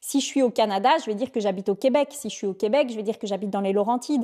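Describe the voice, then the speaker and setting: The dark, mellow voice shows ordinary pitch variation in a very clean recording with a silent background. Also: woman. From Belgium. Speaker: vlogger. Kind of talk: casual chat.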